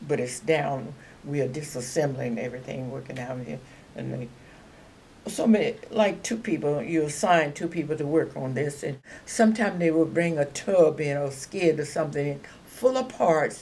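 Over light background noise, a woman with a very deep, low pitch talks at a moderate pace with lively intonation. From Louisiana, US South. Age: 80s+. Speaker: retired aircraft assembly worker, WWII. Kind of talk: oral history interview answer. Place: home room.

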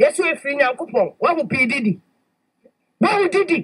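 A woman's high voice at a fairly slow pace, full of big pitch swings

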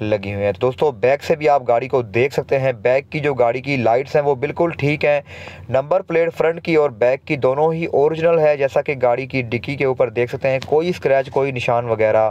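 A man talks at a moderate pace with ordinary pitch variation and hardly any pauses, in a dry sound with no echo. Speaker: used car dealer reviewer. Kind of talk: car review commentary. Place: street. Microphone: phone near.

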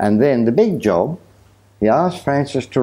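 A man talks with an Australian accent. His pace is moderate. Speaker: storyteller. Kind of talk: talk to an audience. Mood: lively, animated storytelling. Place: home room. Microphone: lapel.

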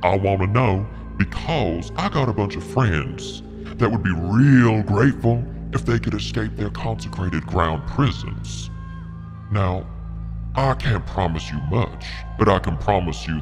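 Over loud background music, a woman performs a put-on character voice at a moderate pace. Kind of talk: villain role-play. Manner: menacing, slow, drawling threats.

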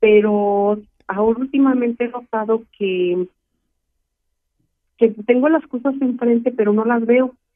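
A woman's fairly high voice at a fairly slow pace, with fairly even intonation and long, frequent pauses. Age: 60s. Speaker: caller. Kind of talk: phone-in health consultation. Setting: phone call. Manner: halting.

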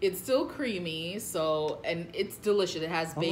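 Fairly low-pitched woman at a moderate pace, ordinary pitch variation, over light background noise. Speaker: food channel host. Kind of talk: casual vlog chat. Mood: cheerful, laughing.

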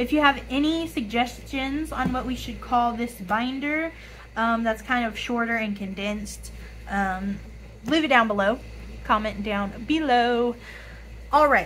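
Raspy and fairly bright in tone, a woman speaks at a fairly high pitch and fairly slow pace with ordinary pitch variation.

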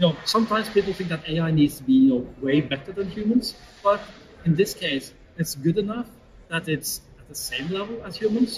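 A man with a Norwegian accent talks at a fairly quick pace and a high pitch, with lively intonation and big swings in loudness. Light noise sits in the background. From Norway. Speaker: AI consultancy CEO; interview guest. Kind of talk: interview. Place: studio. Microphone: camera far.

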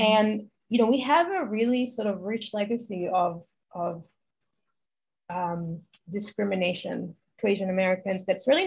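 A woman speaks at a moderate pace with an Israeli accent. Her voice is somewhat breathy over a quiet background. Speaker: health journalist. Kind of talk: interview. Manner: casual, uses many fillers. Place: home room. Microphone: video call.

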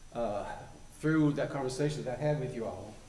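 A man talks with a western North Carolina accent. Audible room echo surrounds his voice. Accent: Southern US (western North Carolina). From US South. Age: 70s. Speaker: community elder. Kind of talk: public comment at council meeting. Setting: town council meeting room.

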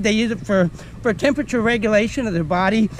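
Over light background noise, a man talks at a high pitch. His pitch variation is ordinary. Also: dry sound with no echo. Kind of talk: educational nature talk. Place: forest.

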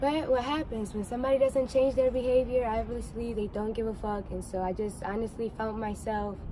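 A woman talks with hardly any pauses and fairly even intonation in a dry sound with no echo, over light background noise. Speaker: vlogger. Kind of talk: casual vlog chat. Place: street. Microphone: phone near.

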